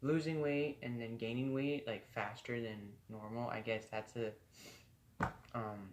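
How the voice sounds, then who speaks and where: His intonation is fairly even. The man's voice sits in a medium register. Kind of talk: casual vlog. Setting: filming alone in bedroom. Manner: halting, many ums.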